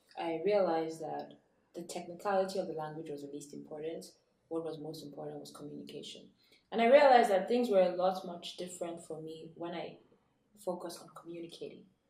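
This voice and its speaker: A woman's very fast speech, dark and mellow in tone at a fairly low pitch, with ordinary pitch variation, big swings in loudness and audible room echo. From Nigeria. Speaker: author and entrepreneur. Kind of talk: interview.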